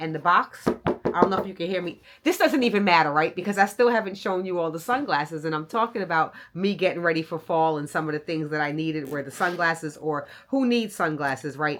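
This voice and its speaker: Against noticeable background noise, the speaker talks in an animated tone at a fairly quick pace with hardly any pauses. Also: woman. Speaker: style and luxury vlogger. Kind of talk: product review vlog. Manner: loud.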